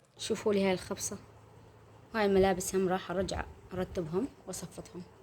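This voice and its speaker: A woman talks at a moderate pace with an Iraqi accent. Her medium-pitched voice stays monotone and flat. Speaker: homemaker vlogger. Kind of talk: casual vlog narration. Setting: at home.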